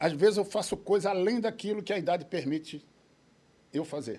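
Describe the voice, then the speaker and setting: A man with a high voice and a dark, mellow tone speaks at a moderate pace with lively intonation. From Recife, Pernambuco, Brazil. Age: 70s. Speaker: judo master and referee. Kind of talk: interview. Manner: hesitant, repeated fillers.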